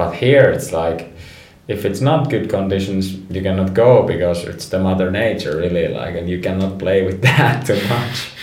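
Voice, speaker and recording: In a Finnish accent, a man speaks at a moderate pace with a very deep, low pitch, amid audible room echo and noticeable background noise. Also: ordinary pitch variation. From Finland, Rovaniemi. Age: 30s. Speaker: professional snowboarder. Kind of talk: interview.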